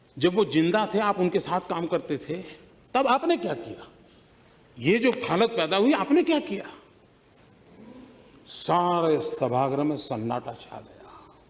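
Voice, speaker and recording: A man talks at a high pitch with very wide pitch swings and big swings in loudness. His speech has long, frequent pauses. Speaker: politician giving a parliamentary speech. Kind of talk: parliamentary speech with anecdote.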